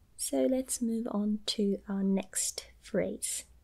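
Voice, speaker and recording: A soft-spoken, somewhat breathy woman talks in a gentle, dark, mellow tone over a quiet background. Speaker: language teacher. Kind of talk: tutorial. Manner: soft-spoken, gentle ASMR voice. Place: home room. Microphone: phone near.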